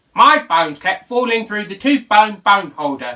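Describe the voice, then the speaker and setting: A put-on character voice from a man, pitched high and paced moderately. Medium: read story.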